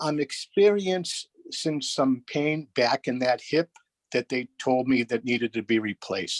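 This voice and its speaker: A man with an American accent and a plain, everyday voice speaks at a fairly slow pace. His pitch varies in an ordinary way, and the sound is dry and close with no echo. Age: 60s. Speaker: caller. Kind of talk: phone-in question.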